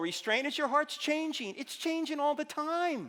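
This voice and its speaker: An extremely high-pitched man's voice, raised and projected at a fairly slow pace, over noticeable background noise. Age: 60s. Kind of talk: sermon. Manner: animated.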